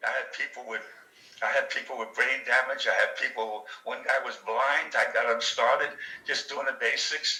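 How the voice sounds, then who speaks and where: Noticeable background noise is present while a man talks at a moderate pace. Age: 80s+. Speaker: retired chef and speed bag enthusiast. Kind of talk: casual chat. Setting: video call. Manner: animated.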